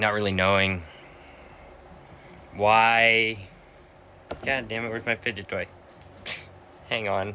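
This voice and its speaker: A man with an American accent speaks at a fairly low pitch and a fairly slow pace, leaving long, frequent pauses. His tone is bright and sharp, his intonation monotone and flat. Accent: Boston accent comes out sometimes. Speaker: vlogger. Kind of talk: personal reflection monologue. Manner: halting.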